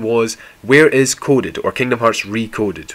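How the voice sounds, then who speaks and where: A man speaks with a Scottish accent. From Scotland. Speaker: video game YouTuber. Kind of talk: scripted explainer video.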